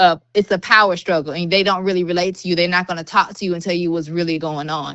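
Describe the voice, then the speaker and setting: A woman with a Southern US accent talks at a very fast pace in a fairly low pitch. Her intonation stays monotone and flat. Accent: Southern US, noticeable. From US South, Georgia, Clayton County. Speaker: school social worker. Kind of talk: podcast interview. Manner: casual, unfiltered speech.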